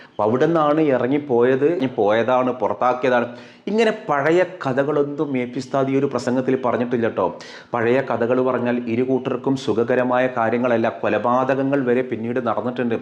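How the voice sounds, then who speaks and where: Over noticeable background noise, a man at a medium pitch speaks with fairly even intonation and very even loudness. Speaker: online commentator. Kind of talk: opinion commentary.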